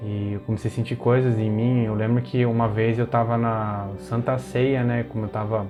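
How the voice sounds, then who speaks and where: With music in the background, a man speaks in a medium pitch with monotone, flat intonation. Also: moderate pace, hardly any pauses. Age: 20s. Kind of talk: personal testimony, casual talk to camera.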